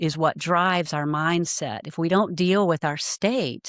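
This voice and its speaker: A woman's fairly low pitch with ordinary pitch variation at a moderate pace, dry and close with no echo, on a very clean recording with a silent background. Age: 60s. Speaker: life coach. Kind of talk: interview conversation. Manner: halting, many repeated words.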